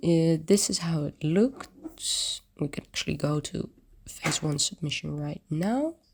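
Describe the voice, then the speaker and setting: Soft-spoken and somewhat breathy, a woman speaks very slowly, her pitch varying in an ordinary way. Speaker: 3D design community host. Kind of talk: screen-share tutorial walkthrough. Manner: casual, hesitant with fillers.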